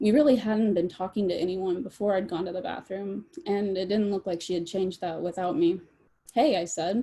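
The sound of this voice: This is an unforced reading voice. The delivery stays that way throughout.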